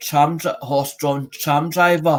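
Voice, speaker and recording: His fairly high voice stays monotone and flat as the man talks. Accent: Scottish. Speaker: YouTuber. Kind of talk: casual chat. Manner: halting.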